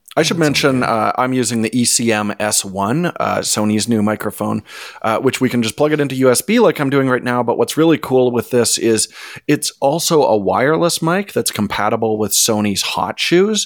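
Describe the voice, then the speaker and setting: This man has an ordinary speaking voice, pitched at a medium level, with lively intonation at a moderate pace. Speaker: photography podcast co-host. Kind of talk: casual chat with ad read.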